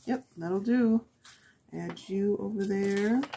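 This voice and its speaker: Soft-spoken and somewhat breathy, a woman talks at a very slow pace in a dark, mellow tone with ordinary pitch variation. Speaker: crafting YouTuber. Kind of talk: tutorial. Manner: halting, talking to herself.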